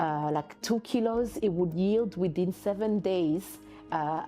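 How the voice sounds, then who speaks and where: A woman speaks at a very slow pace, her pitch varying in an ordinary way. Music plays in the background. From Burundi. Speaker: social entrepreneur. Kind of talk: interview answer.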